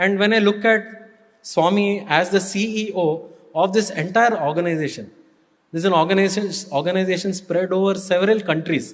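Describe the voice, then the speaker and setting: With an Indian accent, a high-pitched man talks at a fairly quick pace. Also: fairly even intonation. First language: Kannada. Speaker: spiritual speaker, former student and staff. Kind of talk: devotional talk.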